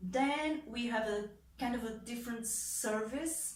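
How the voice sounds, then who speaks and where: Someone with a Portuguese accent speaks at a very slow pace with lively intonation. There is audible room echo and noticeable background noise. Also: woman. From Portugal. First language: European Portuguese. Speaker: translator and content creator. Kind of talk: explainer video monologue. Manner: casual with many fillers.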